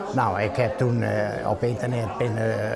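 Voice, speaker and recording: A man speaks at a medium pitch and a fairly slow pace. Audible room echo and noticeable background noise fill the recording. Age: 80s+. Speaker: DJ. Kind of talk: interview; radio presenting.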